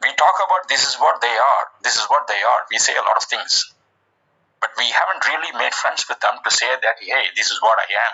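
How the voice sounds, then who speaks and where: In a Tamil accent, a man speaks. His pace is fairly quick. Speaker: online discussion room host. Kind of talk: casual group discussion. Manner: halting, many fillers.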